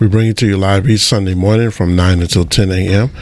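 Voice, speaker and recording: Noticeable background noise sits behind this recording. A man talks in a very deep, low voice. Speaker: radio co-host. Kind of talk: radio talk show. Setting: radio studio.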